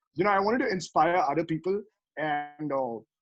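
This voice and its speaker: The voice carries a Tamil accent. Its pitch variation is ordinary. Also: man. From West Bengal, India (Tamil family). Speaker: rapper. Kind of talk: interview. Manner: halting, many fillers.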